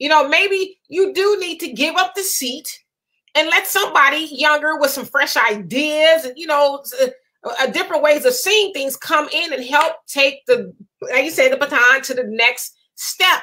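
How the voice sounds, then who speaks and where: A woman's high, raised, projected voice with lively intonation at a moderate pace. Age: 30s. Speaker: livestream talk show host. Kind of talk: casual live chat reading viewer comments.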